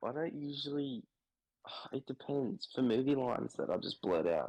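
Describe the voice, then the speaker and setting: A man with an Australian accent at a moderate pace and fairly high pitch, lively in intonation, with a dry, close sound and no echo. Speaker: podcast co-host. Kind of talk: casual chat.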